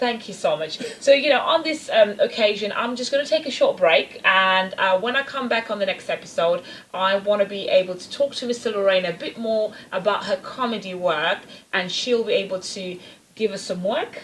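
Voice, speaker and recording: A woman speaks with a fairly high pitch and lively intonation. Noticeable background noise sits behind her. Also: moderate pace, big swings in loudness. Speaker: talk show host. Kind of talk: interview conversation.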